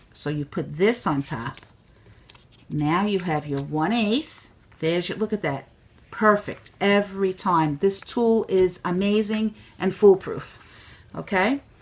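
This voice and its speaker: A woman with a New York accent speaks at a fairly slow pace with lively intonation. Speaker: crafter demonstrating a tool. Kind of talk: tutorial. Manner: animated.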